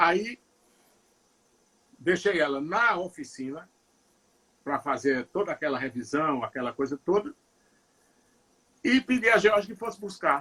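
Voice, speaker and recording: Here a man speaks at a fairly slow pace. His pitch is high, with very wide pitch swings. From Northeast Brazil, Ceará (Juazeiro do Norte). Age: 60s. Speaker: singer-songwriter. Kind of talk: interview. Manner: halting, many repetitions.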